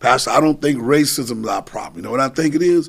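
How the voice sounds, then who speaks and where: A man's fairly high, animated voice with lively intonation and vocal fry. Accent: American. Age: 60s. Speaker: pastor and council member. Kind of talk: casual chat.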